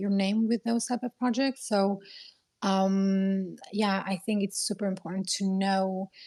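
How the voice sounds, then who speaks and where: Heard dry and close with no echo on a very clean recording with a silent background, a woman with a non-native accent and medium pitch speaks at a moderate pace in a dark, mellow tone with monotone, flat intonation. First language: not English. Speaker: crypto community moderator. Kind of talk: panel discussion. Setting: twitter space audio call.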